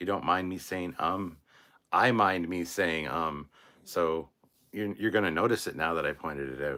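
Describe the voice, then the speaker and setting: A very deep, low man's voice with a bright, sharp tone, vocal fry and ordinary pitch variation. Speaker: YouTube channel host, livestreamer. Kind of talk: live stream chat reading comments. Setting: live stream. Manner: says um a lot; casual, animated.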